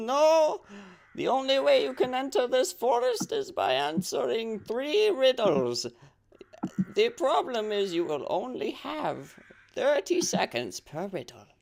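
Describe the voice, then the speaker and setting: Delivered fairly slowly, a put-on character voice sits at a fairly high pitch. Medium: actual play. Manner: formal, measured.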